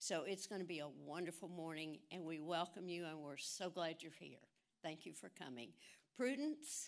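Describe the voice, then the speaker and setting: A woman with an ordinary speaking voice talks at a moderate pace in a fairly low pitch, with ordinary pitch variation. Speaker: event announcer. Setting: church.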